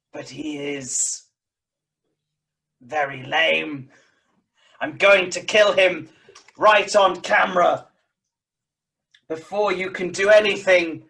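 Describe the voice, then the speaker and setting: The speaker uses a put-on character voice at a middle pitch. The delivery is very slow, with long, frequent pauses. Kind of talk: comic improv overacting. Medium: stage play. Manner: angry, ranting in rough rhyming couplets.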